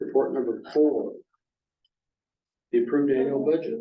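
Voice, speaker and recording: Audible room echo hangs around the voice. The pace is moderate. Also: man. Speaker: finance committee chair. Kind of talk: public meeting report reading.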